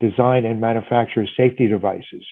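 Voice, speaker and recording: A man speaks at a medium pitch. He has a New York accent. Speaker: hiring manager, panelist. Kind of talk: panel discussion. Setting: video call.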